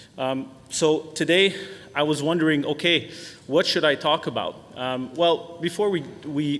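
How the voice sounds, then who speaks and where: A man talks at a fairly slow pace in a fairly high pitch. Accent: Quebec. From Quebec, Canada. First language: French. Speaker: software sales executive. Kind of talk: webinar presentation. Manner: frequent filler words, hesitant.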